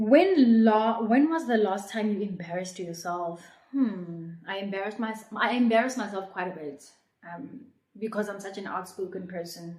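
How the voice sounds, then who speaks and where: A somewhat breathy woman speaks in a South African accent at a medium pitch, with ordinary pitch variation and a moderate pace. Her loudness swings widely, and audible room echo surrounds the voice. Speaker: YouTuber. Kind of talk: casual chat.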